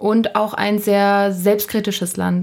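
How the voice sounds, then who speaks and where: A woman of medium pitch speaks fairly slowly in a monotone, flat delivery. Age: 20s. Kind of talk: interview.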